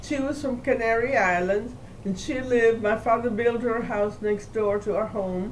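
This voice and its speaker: A woman's fairly high voice at a moderate pace, with fairly even intonation and audible room echo. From Cuba, Havana. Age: 80s+. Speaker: family elder recounting history. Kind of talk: family oral history interview.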